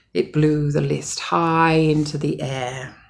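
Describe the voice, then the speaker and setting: The woman is captured in a very clean recording against a silent background. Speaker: mother. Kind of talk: bedtime story.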